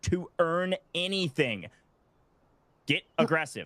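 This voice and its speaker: Here a man speaks in an animated tone. The sound is dry and close, with no echo. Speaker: esports caster. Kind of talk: live commentary.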